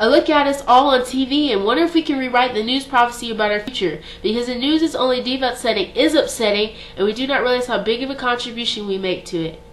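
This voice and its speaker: A woman with a high pitch at a very fast pace, ordinary pitch variation, and noticeable background noise. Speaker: slam poet. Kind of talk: slam poetry performance.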